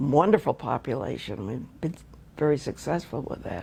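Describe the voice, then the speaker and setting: This woman speaks with an American accent and noticeable vocal fry. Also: very clean recording, silent background. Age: 80s+. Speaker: retired wildlife research biologist. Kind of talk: oral history interview answer.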